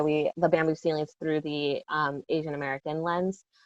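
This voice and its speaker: A woman with a Lao accent and a very deep, low pitch talks fairly quickly with monotone, flat intonation, the sound dry and close with no echo and the background quiet. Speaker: educator. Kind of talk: panel discussion. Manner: direct.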